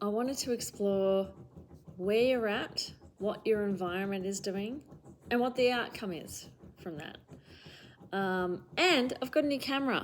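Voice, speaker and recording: With an Australian accent and a medium pitch, a woman speaks at a fairly slow pace with ordinary pitch variation. Her pauses are long and frequent. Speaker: tarot reader. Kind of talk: tarot reading monologue. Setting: home recording with camera. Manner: casual, many fillers.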